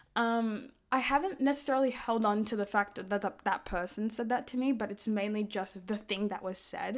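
In an unremarkable speaking voice, a woman talks at a fairly quick pace with hardly any pauses, a fairly high pitch and ordinary pitch variation, in a very clean recording with a silent background. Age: 20s. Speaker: podcast host. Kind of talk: solo monologue podcast. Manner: casual, chatty.

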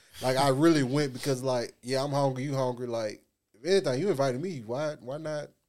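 A man's normal speaking voice at medium pitch, fairly quick, with ordinary pitch variation and big swings in loudness. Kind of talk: casual chat.

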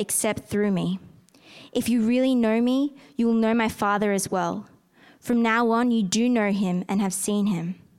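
With a normal speaking voice, a woman speaks at a fairly high pitch and a moderate pace, her loudness very even and her intonation fairly even. The recording is very clean, with a silent background. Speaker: scripture reader at church. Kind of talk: reading aloud. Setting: church.

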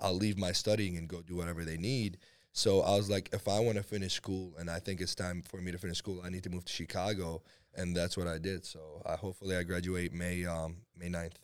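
A man's very deep, low voice in a flat monotone at a fairly quick pace, on a very clean recording with a silent background. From Iraq and Syria, moved to US at 11. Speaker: powerlifter. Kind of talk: casual chat.

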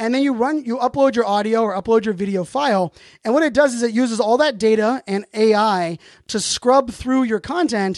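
A man speaks at an extremely high pitch with ordinary pitch variation. The sound is dry and close with no echo, over a quiet background. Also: fairly quick pace. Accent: American. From Pittsburgh, US. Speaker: podcast host. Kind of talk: solo podcast monologue about tools. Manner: fast talker; filler-heavy, rambling.

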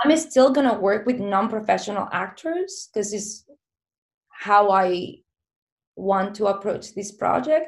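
A woman's medium-pitched voice with a Spanish accent, lively intonation and a fairly slow pace. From southern Spain, small town. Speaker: filmmaker. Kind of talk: casual interview chat.

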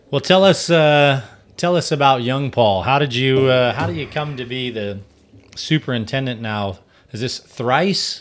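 Using an ordinary speaking voice with ordinary pitch variation, the speaker goes at a fairly slow pace. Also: man, medium pitch for a man. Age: 40s. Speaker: podcast host and gym owner. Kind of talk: interview.

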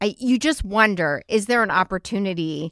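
A woman speaks in an ordinary speaking voice at a medium pitch with ordinary pitch variation. Her moderate pace comes through in a dry, close sound with no echo. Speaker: podcast host. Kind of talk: casual chat.

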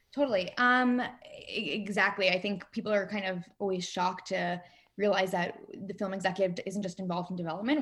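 The speech moves at a fairly quick pace. Noticeable background noise runs beneath it. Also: woman. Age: 20s. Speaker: film executive. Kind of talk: interview.

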